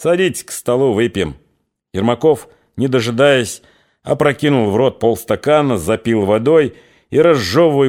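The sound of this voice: An unforced reading voice with ordinary pitch variation comes through against a quiet background.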